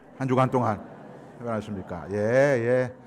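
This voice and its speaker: A man with a Gyeongsang accent. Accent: Gyeongsang Korean dialect. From Gyeongsang region, South Korea. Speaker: guest pastor, church consultant. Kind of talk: sermon. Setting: church.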